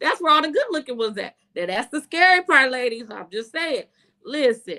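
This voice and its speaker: A raised, projected voice with a bright, sharp, animated tone moves at a moderate pace. Its pitch swings very widely. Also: woman. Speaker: online show host reviewing movies. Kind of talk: casual chat.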